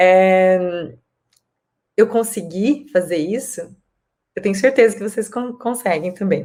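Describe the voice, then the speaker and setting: A woman speaks very slowly at medium pitch, with long, frequent pauses. Her tone is dark and mellow, with ordinary pitch variation. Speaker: wellness vlogger. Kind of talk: casual monologue to camera. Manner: halting, searching for words.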